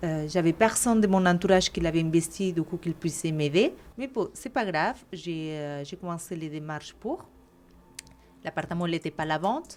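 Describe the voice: A woman's fairly low pitch and slightly mellow tone at a moderate pace, with ordinary pitch variation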